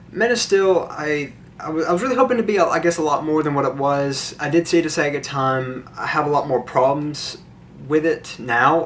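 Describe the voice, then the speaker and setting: A fairly high-pitched male voice is heard against noticeable background noise. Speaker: movie and game vlogger. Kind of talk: unscripted casual vlog. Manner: halting, with fillers and repetitions.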